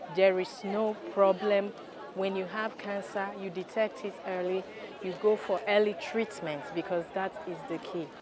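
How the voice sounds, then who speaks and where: Over crowd noise in the background and audible room echo, a speaker with a Nigerian accent talks at a fairly slow pace with fairly even intonation. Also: woman, medium pitch for a woman. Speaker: health campaigner. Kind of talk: interview.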